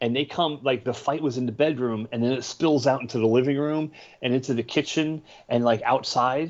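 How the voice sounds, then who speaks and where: At a moderate pace, an ordinary speaking voice in an American accent shows ordinary pitch variation. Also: man. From northern New Jersey, Bergen County. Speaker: podcast co-host. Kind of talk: casual chat.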